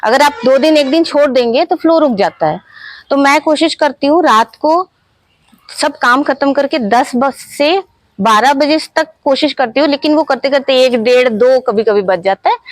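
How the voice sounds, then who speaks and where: Lively intonation rides over very even loudness in a dry, close recording with no echo. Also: woman, high pitch for a woman. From Ranchi, Jharkhand, India. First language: Bengali (speaking Hindi). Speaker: author and life coach. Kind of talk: interview.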